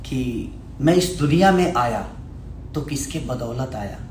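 There is noticeable background noise as a man talks. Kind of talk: live stream address to audience. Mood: grateful, earnest. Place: gym. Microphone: phone near.

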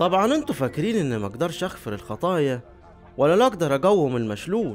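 Over music in the background, a man with an Upper Egyptian accent speaks at a fairly quick pace with very wide pitch swings. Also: fairly high pitch for a man. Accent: Upper Egyptian (Saidi) Arabic. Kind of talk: scripture reading.

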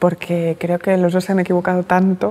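A woman's dark, mellow tone holds a monotone, flat intonation. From Catalonia, Barcelona. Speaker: journalist and writer; journalist. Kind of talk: interview. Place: hall. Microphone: lapel.

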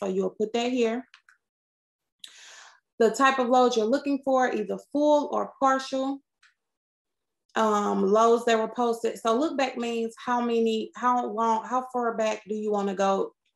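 The speech moves at a fairly slow pace with fairly even intonation and long, frequent pauses. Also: woman. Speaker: dispatcher trainer. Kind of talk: tutorial. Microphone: webcam.

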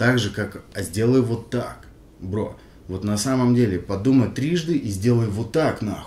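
Audible room echo surrounds a man with a medium pitch and a dark, mellow, somewhat breathy tone. He talks at a fairly slow pace with ordinary pitch variation. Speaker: rapper, member of a hip-hop crew. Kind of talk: casual interview, reminiscing. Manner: halting, full of fillers and restarts.

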